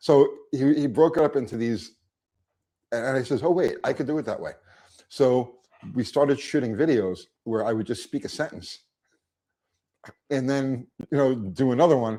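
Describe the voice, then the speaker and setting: A man's medium-pitched voice, dark and mellow in tone, at a moderate pace with ordinary pitch variation and long, frequent pauses. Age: 60s. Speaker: YouTube car mechanic creator. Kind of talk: casual interview. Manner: halting, repeats words.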